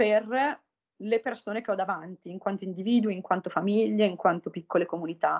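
This woman's voice sits at a medium pitch with ordinary pitch variation. The background is quiet. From northern Italy. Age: 30s. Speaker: humanitarian aid worker. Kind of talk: interview. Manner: halting.

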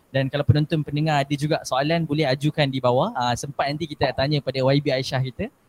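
With an ordinary speaking voice at a medium pitch, a man talks at a fairly quick pace with fairly even intonation. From Malaysia, Perak. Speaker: talk show host. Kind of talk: casual talk show chat.

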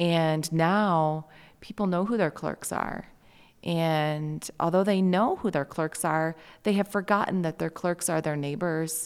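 Speaking with an Upper Midwest accent, a woman uses a fairly low pitch, fairly even intonation, and a fairly slow pace on a very clean recording with a silent background. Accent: Upper Midwest American. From Michigan, Lansing area. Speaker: county election clerk. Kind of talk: interview. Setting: conference venue.

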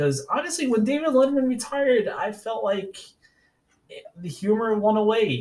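In an American accent, a man with a high pitch speaks at a moderate pace with very wide pitch swings. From New York City, Staten Island. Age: 40s. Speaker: podcast host. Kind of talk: solo podcast monologue. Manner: casual, hesitant with fillers.

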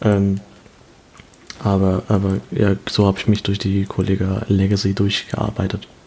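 Fairly slow, monotone, flat speech from a man with a fairly low pitch, long, frequent pauses and noticeable background noise. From Germany, Kaiserslautern (Palatinate). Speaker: podcast co-host, student. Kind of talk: casual chat. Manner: halting.

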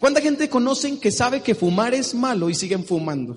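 A man with a Mexican accent speaks in an extremely high voice at a moderate pace. His tone is animated and his intonation lively. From Mexico. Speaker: business seminar speaker. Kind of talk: motivational seminar talk. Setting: stage with audience.

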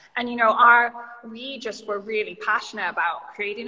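With background noise clearly present, a fairly high-pitched woman talks at a moderate pace, her intonation fairly even. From Canada, British Columbia. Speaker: yoga studio founder. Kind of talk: casual interview chat. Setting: video call livestream.

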